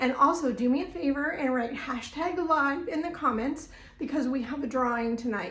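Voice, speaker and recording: A high-pitched woman talks at a moderate pace with ordinary pitch variation, amid noticeable background noise and audible room echo. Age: 60s. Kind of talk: live-stream sales presentation. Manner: animated.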